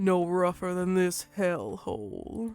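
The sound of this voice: A woman speaks fairly slowly at a medium pitch in a put-on character voice with a Southern accent. Music plays behind her.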